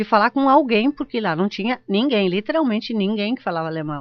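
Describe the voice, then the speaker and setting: Fairly high in pitch, a woman speaks at a fairly quick pace with lively intonation. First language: German (speaking Portuguese). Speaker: geriatric doctor. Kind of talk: radio interview. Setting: radio studio.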